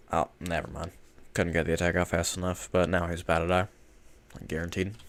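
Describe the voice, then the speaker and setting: Here a man talks at a fairly quick pace with monotone, flat intonation. His pitch is very deep and low. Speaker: gaming streamer. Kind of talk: gameplay commentary. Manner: casual, self-deprecating. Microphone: nice mic.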